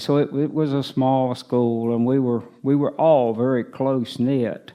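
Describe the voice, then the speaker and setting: The speaker is a man with a Tennessee accent. His medium-pitched voice keeps a fairly even intonation. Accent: Southern US (Tennessee). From US South, East Tennessee. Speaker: retirement community resident. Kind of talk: life story interview. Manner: halting.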